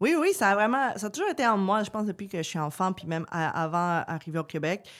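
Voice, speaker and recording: Lively intonation marks this woman's very fast speech. The recording is very clean, with a silent background. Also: medium pitch for a woman. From Peru. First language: Spanish (speaking French). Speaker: politician. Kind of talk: podcast interview. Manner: many hesitations (euh).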